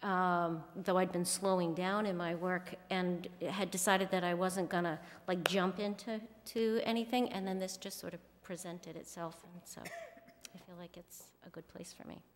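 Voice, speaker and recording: There is noticeable noise in the background. A woman talks at a moderate pace in a flat, monotone way. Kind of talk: interview answer. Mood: calm, friendly. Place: hall. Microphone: podium.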